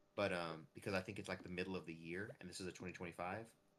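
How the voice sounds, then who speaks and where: Very fast, monotone delivery with flat intonation, in an American accent. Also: man. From United States. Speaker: streamer. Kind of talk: casual chat. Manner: halting, many fillers and restarts.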